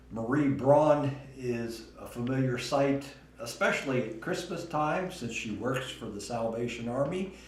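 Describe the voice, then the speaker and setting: Over noticeable background noise and audible room echo, a man speaks at a medium pitch and fairly slow pace with ordinary pitch variation. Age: 60s. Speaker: talk show host. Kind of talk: interview.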